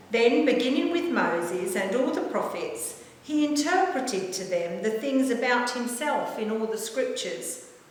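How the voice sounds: Amid strong room echo, a woman with a fairly high pitch speaks at a fairly slow pace with lively intonation.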